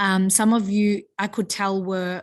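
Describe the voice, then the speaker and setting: The speaker has an Australian accent. The background is quiet. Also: woman. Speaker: high school teacher. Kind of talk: feedback talk to students. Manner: casual, hesitant with many fillers.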